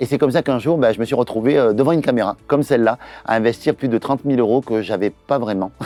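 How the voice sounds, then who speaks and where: With a Toulouse accent, a man talks at a very fast pace, his medium pitch showing ordinary variation. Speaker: entrepreneur and business trainer. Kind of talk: promotional launch video. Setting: in front of a camera. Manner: hesitant, many filler sounds.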